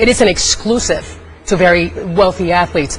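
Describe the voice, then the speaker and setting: Noticeable background noise accompanies this woman's voice. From Puerto Rico. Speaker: sports talk panelist. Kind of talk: heated debate.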